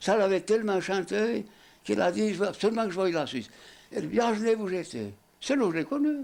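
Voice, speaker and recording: A man's high voice at a very fast pace, broken by long, frequent pauses. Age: 80s+. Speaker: retired coachman. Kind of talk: interview answer.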